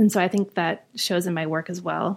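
At a moderate pace, a woman speaks in a plain, everyday voice at medium pitch with fairly even intonation, in a very clean recording with a silent background. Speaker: visual artist and art professor. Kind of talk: casual interview chat.

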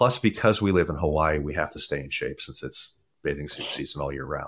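With an American accent, a man talks at a fairly quick pace in a very deep, low pitch with vocal fry and ordinary pitch variation. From US East Coast, Maryland. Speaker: nutrition and fitness coach, former dentist. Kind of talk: casual interview chat.

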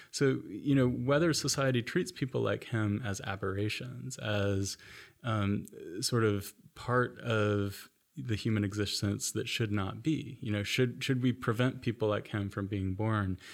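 A man speaks with an American accent and lively intonation at a fairly slow pace. His pitch is fairly low, and the recording is very clean with a silent background. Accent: noticeable American. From US (Florida, moved around South/Midwest). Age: young. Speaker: anthropologist, professor. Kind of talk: interview. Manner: repeats words, hesitant fillers.

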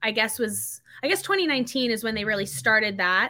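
This woman has a fairly high pitch and a bright, sharp tone with ordinary pitch variation. The recording is very clean, with a silent background. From US South, North Carolina. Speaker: CrossFit athlete. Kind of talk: casual chat.

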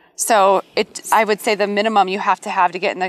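At a very fast pace, a woman of medium pitch talks in a dry, close sound with no echo, with noticeable background noise behind her. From US Midwest. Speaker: realtor. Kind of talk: casual chat.

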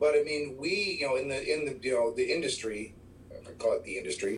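Over noticeable background noise, a man with an American accent speaks at a fairly quick pace. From Chicago. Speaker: music store worker, music fan. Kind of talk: casual chat.

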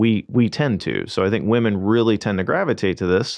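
With an American accent, a man in an ordinary speaking voice talks at a moderate pace, his pitch fairly low with ordinary variation. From St. Louis area, Missouri. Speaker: marketing manager, former pit crew member. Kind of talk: casual interview. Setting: radio studio.

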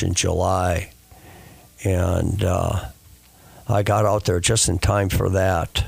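His pitch is very deep and low. It belongs to a man. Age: 70s. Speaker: Vietnam war veteran. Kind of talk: interview storytelling. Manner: halting.

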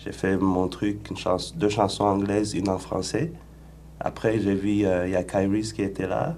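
Against audible room echo, a man with a dark, mellow tone and a fairly low pitch speaks at a fairly slow pace with ordinary pitch variation. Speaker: rapper. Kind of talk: radio interview.

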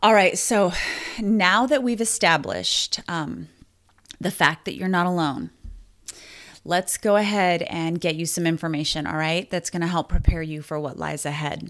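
A woman's fairly low voice, with ordinary pitch variation, moves along at a moderate pace. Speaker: podcast host. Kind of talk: supportive podcast talk. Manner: conversational, with fillers; emotional, gets choked up.

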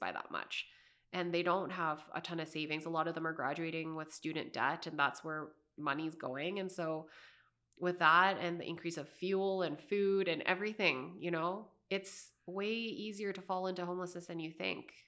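A woman speaks with a Canadian accent. Her tone is bright and sharp, her intonation fairly even. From Canada, Calgary. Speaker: community organizer. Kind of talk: interview.

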